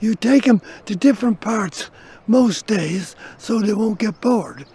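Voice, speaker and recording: With noticeable background noise behind him, a man with a Dublin accent speaks at a high pitch and a moderate pace. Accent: Dublin Irish. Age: 70s. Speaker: dog owner. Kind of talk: interview. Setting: outdoors in a park.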